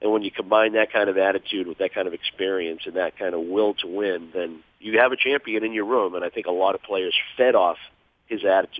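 With an American accent, a man talks in an unremarkable speaking voice that sits fairly low in pitch. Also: fairly quick pace. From Boston area. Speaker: hockey broadcaster and former player. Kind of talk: phone interview.

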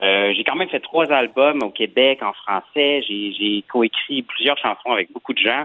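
An ordinary speaking voice with lively intonation. The pace is fairly slow. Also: man. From Quebec. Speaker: singer. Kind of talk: interview.

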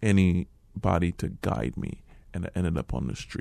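Very deep and low, a man's dark, mellow voice with vocal fry carries lively intonation at a fairly slow pace. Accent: American. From Liberia. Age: 40s. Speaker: refugee and forgiveness speaker. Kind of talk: personal testimony interview. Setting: radio studio. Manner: halting, with many repetitions.

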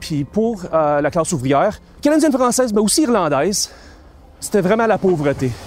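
Over music in the background, a man with a Quebec accent and a high pitch talks at a moderate pace, showing very wide pitch swings but very even loudness. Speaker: historian and university lecturer. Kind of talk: interview. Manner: hesitant, many fillers.

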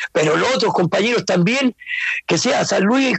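The man's voice shows ordinary pitch variation. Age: 60s. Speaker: retired footballer. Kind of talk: interview.

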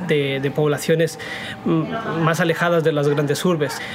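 Over music in the background, a man talks at a fairly high pitch with fairly even intonation. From Ecuador. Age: 20s. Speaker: economics journalist. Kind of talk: interview.

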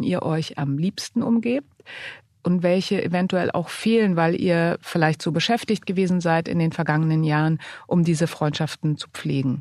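A woman's medium-pitched, plain, everyday voice at a moderate pace with ordinary pitch variation. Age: 40s. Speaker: podcast co-host, magazine editor-in-chief. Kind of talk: casual chat.

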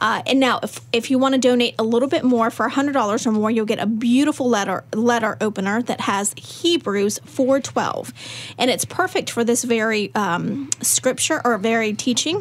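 Over noticeable background noise, a woman with a fairly high voice speaks at a moderate pace with ordinary pitch variation. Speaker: ministry staff member. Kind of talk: casual interview chat.

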